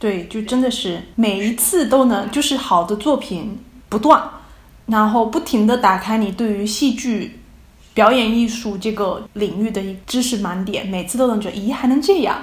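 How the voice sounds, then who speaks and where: Audible room echo carries the fairly high-pitched voice of a woman. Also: ordinary pitch variation, moderate pace. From China, Fujian province. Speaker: postdoctoral researcher in theatre and culture. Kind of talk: casual conversational interview. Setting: remote call from abroad.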